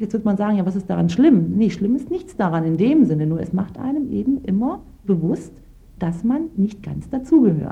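At a moderate pace, a woman of medium pitch talks with vocal fry and very wide pitch swings. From Lower Saxony, Germany, Turkish family. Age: 30s. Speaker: lawyer. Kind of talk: interview testimony.

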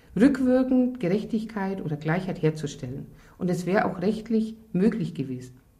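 A woman's medium-pitched, somewhat breathy voice with a dark, mellow tone, very wide pitch swings, a moderate pace and audible room echo. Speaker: affected divorced woman. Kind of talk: interview testimony.

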